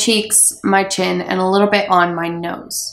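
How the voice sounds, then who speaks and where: Noticeable background noise sits behind a woman's voice. She speaks at a moderate pace in a medium pitch. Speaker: beauty blogger. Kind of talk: makeup tutorial voiceover.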